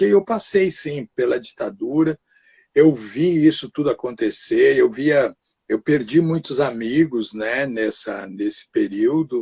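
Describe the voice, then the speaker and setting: The voice is somewhat breathy, with lively intonation at a fairly slow pace. The sound is dry and close, with no echo. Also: man. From Brazil, São Paulo state interior (Pinhal). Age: 70s. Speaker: actor. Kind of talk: interview conversation. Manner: halting, many fillers.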